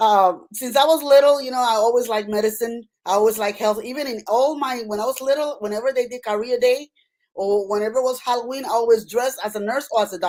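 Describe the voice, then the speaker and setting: Speaking at a very fast pace, a woman with a Puerto Rican accent uses a fairly high pitch. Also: ordinary pitch variation. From Puerto Rico. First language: Spanish. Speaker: nurse practitioner and author. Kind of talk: interview.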